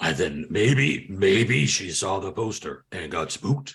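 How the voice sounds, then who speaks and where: A man's put-on character voice, fairly slow, with lively intonation. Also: fairly low pitch for a man. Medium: actual play. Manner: stammering, rambling.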